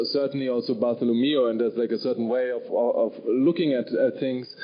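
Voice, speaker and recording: This man talks at a fairly quick pace with a German accent. His pitch variation is ordinary, and there is noticeable background noise. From Germany, Bavaria. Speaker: novelist. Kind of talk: panel discussion. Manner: halting, many fillers and repeats.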